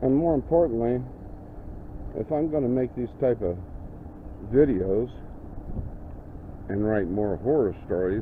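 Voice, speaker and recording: A man with an American accent, medium pitch, lively intonation, and a fairly slow pace. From Indiana, US Midwest. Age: 60s. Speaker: paranormal video host and horror writer. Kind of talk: walking video tour narration. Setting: outdoors on a city street. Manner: halting, with repeated words.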